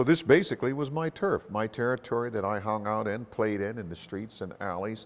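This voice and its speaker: Ordinary pitch variation marks this voice with an American accent. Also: man. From Washington, D.C. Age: 60s. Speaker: oral history interviewee. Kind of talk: interview. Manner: halting.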